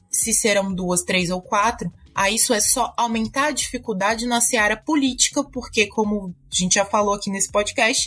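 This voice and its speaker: Music plays in the background as a woman with a Brazilian accent speaks at a moderate pace, her fairly high pitch showing ordinary variation. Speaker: tax and legal consultant. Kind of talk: panel discussion.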